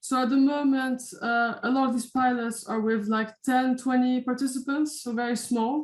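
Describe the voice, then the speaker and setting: In a Dutch accent, a woman speaks at a moderate pace with a high pitch and monotone, flat intonation. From Netherlands. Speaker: university lecturer. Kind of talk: lecture. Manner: hesitant, many fillers.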